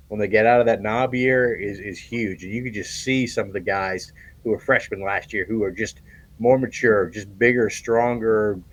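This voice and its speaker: Against a quiet background, a man with a medium pitch talks at a fairly quick pace, his intonation fairly even. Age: 60s. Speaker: sports beat writer. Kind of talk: sports analysis chat. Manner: halting, many fillers and repeats.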